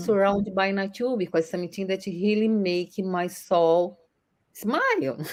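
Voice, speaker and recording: The speaker goes at a fairly slow pace with a Brazilian accent. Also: woman. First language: Portuguese. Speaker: online entrepreneur. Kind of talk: interview answer.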